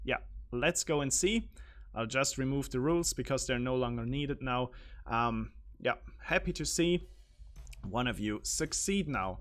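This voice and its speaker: This man talks at an average speed but often stops for long stretches. Music can be heard behind him. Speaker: quiz show live streamer. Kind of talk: live stream quiz hosting. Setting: live stream. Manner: animated.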